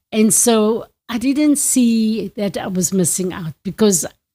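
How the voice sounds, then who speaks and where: A woman speaks at a very slow pace, somewhat breathy, with a dark, mellow tone and a medium pitch. Her intonation is lively, and the recording is very clean with a silent background. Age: 70s. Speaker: retiree sharing life story. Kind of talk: interview. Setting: family home.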